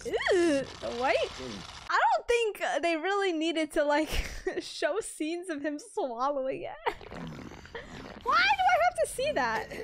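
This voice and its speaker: Over noticeable background noise, a woman speaks very slowly at an extremely high pitch with very wide pitch swings. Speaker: reaction video creator. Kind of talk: casual reaction commentary. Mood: amused, playful. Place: home room. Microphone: studio mic.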